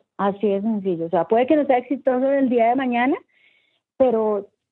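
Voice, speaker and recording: Fairly quick and fairly high-pitched, a woman talks in a normal speaking voice with ordinary pitch variation. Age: 30s. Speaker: entrepreneur. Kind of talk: interview. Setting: remote interview from home.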